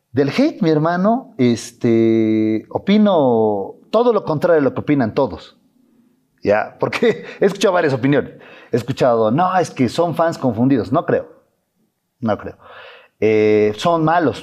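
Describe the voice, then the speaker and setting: This man's pitch is fairly high and swings very widely. He speaks fairly slowly against a quiet background. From Bolivia, Beni. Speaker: influencer and content creator; influencer, content creator. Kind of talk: interview. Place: studio. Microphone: lapel.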